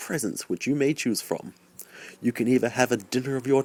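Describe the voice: The clip is plain reading aloud.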